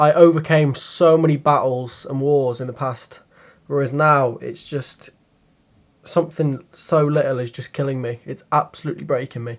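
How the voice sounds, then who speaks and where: Quiet and with big swings in loudness, a man speaks at a moderate pace, his fairly high pitch carried on fairly even intonation. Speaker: YouTube vlogger. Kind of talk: personal confessional vlog. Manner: quiet, subdued; halting, hesitant.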